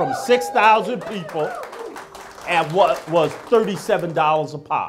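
Faint music plays in the background while a man talks. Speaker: candidate. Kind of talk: campaign speech. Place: bar. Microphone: handheld.

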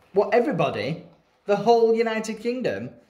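A man at a high pitch, fairly quick pace, big pitch swings and a slightly mellow tone

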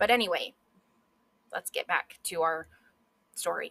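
A woman speaks at a moderate pace in a bright, sharp tone, the sound dry and close with no echo. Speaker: history podcast host. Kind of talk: solo educational monologue. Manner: animated; excitable.

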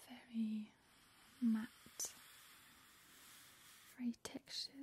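The speaker whispers very slowly in a soft-spoken way. Light background noise is present. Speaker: presenter. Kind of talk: soft-spoken show-and-tell. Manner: soft ASMR whisper.

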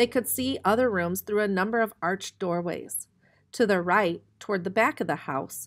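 Natural-voiced reading aloud, pitch moving in an ordinary way.

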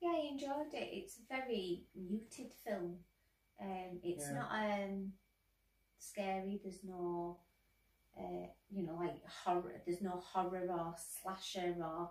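Audible room echo carries a woman's voice as she speaks at a fairly slow pace with long, frequent pauses. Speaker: co-host film reviewer. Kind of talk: film review commentary. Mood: relaxed, thoughtful. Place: home room.

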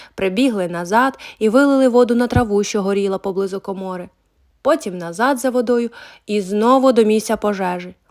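With a quiet background, the reading aloud is in a natural voice and the pitch varies in an ordinary way.

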